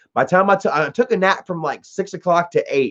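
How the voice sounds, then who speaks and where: Fairly quick and with ordinary pitch variation, a man with an ordinary speaking voice is heard in a dry, close sound with no echo against a quiet background. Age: 30s. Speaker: live streamer. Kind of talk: casual chat. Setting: live stream at home. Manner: casual, laid-back.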